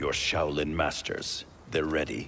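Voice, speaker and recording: A man's cartoonish character voice, very deep and low in pitch, at a fairly slow pace over clear background noise. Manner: stern, guarded.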